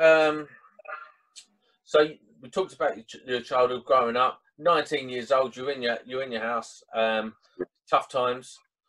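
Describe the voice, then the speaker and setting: This man's voice has a bright, sharp tone at medium pitch, moving at a moderate pace with ordinary pitch variation. His loudness swings widely, and he leaves long, frequent pauses. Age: 30s. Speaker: podcast host. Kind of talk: interview.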